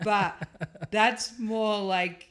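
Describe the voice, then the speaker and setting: A woman's fairly high voice comes through in an Australian accent. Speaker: rally co-driver. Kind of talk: casual interview chat.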